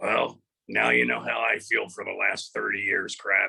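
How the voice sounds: In a put-on character voice, the speaker sounds gruff and raspy at a moderate pace. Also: man.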